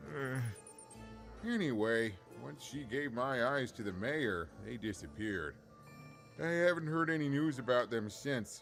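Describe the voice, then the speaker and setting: Using a put-on character voice, a man speaks at medium pitch and a moderate pace with long, frequent pauses. Clear music plays in the background. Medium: video game. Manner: chatty, rambling, self-deprecating.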